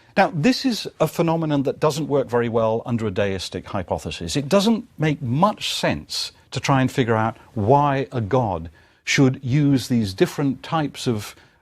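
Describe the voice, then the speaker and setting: A man with a British accent, very wide pitch swings, moderate pace and hardly any pauses, on a very clean recording with a silent background. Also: medium pitch for a man. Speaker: lecturer. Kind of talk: lecture.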